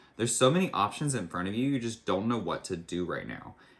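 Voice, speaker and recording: Against a silent background in a very clean recording, a man talks very fast with ordinary pitch variation. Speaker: tarot reader. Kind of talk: tarot reading. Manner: casual, filler-heavy.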